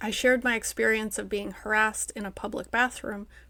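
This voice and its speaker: On a very clean recording with a silent background, a woman with an ordinary speaking voice speaks at a moderate pace, her fairly high pitch carrying fairly even intonation. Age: 30s. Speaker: writer and newsletter publisher. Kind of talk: personal essay read to camera.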